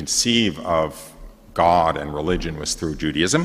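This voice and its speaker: A man speaks with a New York accent at a fairly slow pace. His pitch varies in an ordinary way. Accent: New York area American. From New York area, US. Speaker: priest giving retreat talk. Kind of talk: testimony. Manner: halting, many fillers.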